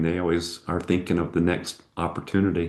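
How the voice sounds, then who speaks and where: Audible room echo colors the recording. The delivery keeps a moderate pace. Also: man. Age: 60s. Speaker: entrepreneur. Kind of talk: interview.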